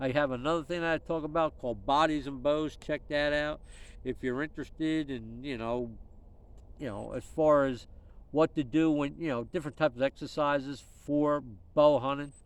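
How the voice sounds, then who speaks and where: The speech moves at a moderate pace with fairly even intonation over a quiet background. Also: man, fairly high pitch for a man. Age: 60s. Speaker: outdoors YouTuber, bowhunter. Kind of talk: product review vlog. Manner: casual, halting with repetitions.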